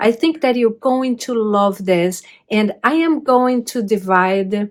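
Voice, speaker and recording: Speaking very slowly with a Brazilian Portuguese accent, a woman uses a fairly high voice with ordinary pitch variation in a very clean recording with a silent background. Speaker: crafting YouTuber. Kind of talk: tutorial-style video talk. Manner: hesitant with many fillers.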